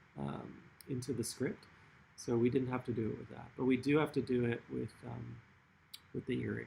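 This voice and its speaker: This is a man's voice. It has vocal fry. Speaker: artist running a workshop. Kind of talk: tutorial. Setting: online livestream workshop. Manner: casual, many fillers.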